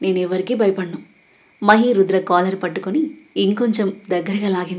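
Just plain reading aloud

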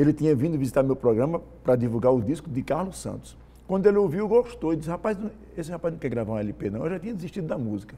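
Fairly high in pitch yet dark and mellow in tone, a man's voice swings very widely in pitch as he speaks at a very fast pace. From Rio Grande do Norte, Brazil (Natal / Nova Cruz); Rio Grande do Norte, Brazil. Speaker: singer and songwriter; interview guest. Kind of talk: interview. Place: studio. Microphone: lapel.

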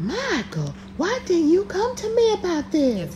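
Using a put-on character voice, a woman speaks fairly slowly at an extremely high pitch against clear background noise. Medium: comedy sketch. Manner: polite, professional.

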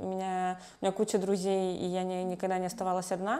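Moderate pace from a woman. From Russian Far East, Khabarovsk; Russian Far East. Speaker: human rights lawyer. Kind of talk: interview. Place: home room. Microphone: lapel.

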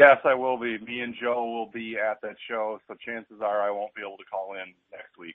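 Against a quiet background, a man speaks at a moderate pace with hardly any pauses, fairly even intonation, big swings in loudness, and a dry sound with no echo. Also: medium pitch for a man. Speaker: caller, fellow wrestling podcaster. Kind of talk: casual chat. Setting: phone call. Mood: opinionated, mildly frustrated. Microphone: phone line.

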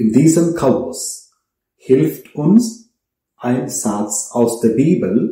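Somewhat breathy and dark, mellow in tone, a man speaks at a very slow pace with audible room echo. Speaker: priest. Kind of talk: sermon, earnest and measured homily to a congregation. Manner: earnest; rhetorical, direct address with pauses. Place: home room.

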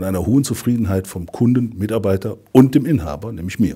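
Against a quiet background, a man with a dark, mellow, somewhat breathy tone talks at a fairly quick pace. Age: 50s. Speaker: insurance district director. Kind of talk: customer testimonial interview. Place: office.

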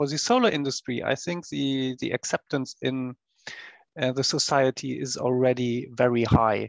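With a medium pitch, a man speaks at a moderate pace with fairly even intonation and vocal fry, in a dry, close sound with no echo.

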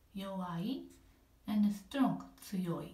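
A very slow delivery in a non-native accent, with ordinary pitch variation and audible room echo. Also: woman. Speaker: apartment resident giving a home tour. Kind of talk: casual home tour narration. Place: bathroom. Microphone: phone near.

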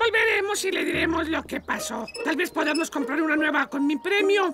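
A put-on character voice at extremely high pitch and moderate pace, over clear background noise. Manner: dramatic, frantic, boastful.

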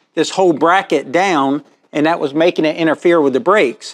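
A man talks at a fairly quick pace. His loudness stays very even, with ordinary pitch variation. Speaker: welding shop owner demonstrating install. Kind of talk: tutorial. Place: garage. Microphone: phone near.

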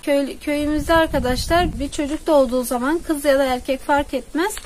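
A woman with a high pitch talks at a moderate pace with ordinary pitch variation over light background noise. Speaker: village vlogger. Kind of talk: casual talk to camera. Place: garden. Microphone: phone near.

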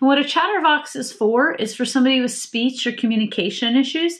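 A woman speaks with lively intonation. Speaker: product reviewer. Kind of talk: tutorial. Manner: halting. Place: home room.

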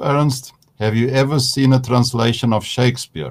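Speaking at a moderate pace, a man with an ordinary speaking voice keeps a medium pitch and fairly even intonation. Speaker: seminary moderator. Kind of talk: panel discussion. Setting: video call.

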